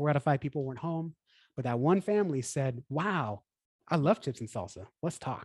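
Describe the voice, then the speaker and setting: A somewhat breathy man with an American accent and lively intonation at a moderate pace, in a very clean recording with a silent background and a dry, close sound with no echo. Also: fairly high pitch for a man. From Texas, Houston. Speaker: church marketing consultant. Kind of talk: casual interview chat.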